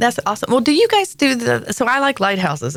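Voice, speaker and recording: Vocal fry, a very fast pace and a Southern accent, in a very clean recording with a silent background. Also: woman. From US South, rural North Carolina. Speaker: podcast host. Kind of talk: casual chat. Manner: animated storytelling.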